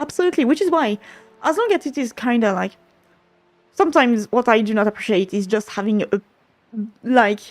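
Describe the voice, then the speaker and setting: In a dry, close sound with no echo, a woman with a French accent speaks at a fairly quick pace with lively intonation and a fairly high pitch, broken by long, frequent pauses. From France. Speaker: game developer streamer. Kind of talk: casual livestream chat. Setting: livestream.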